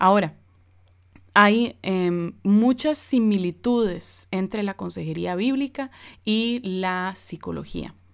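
In a very clean recording with a silent background, a woman of medium pitch speaks very slowly with ordinary pitch variation. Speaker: biblical counselor and podcast host. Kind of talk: informal teaching monologue. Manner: casual, informal; hesitant with many fillers.

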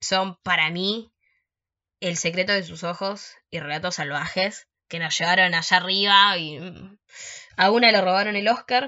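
At a fairly slow pace, a woman speaks in a plain, everyday voice at a medium pitch. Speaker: podcast host. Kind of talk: casual chat.

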